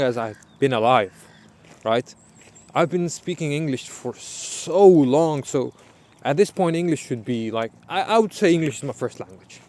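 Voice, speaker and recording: Over noticeable background noise, a man with a fairly high pitch and lively intonation talks with an American accent. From Pakistan. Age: 20s. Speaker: student vlogger. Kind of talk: casual vlog monologue. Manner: halting, many fillers and restarts.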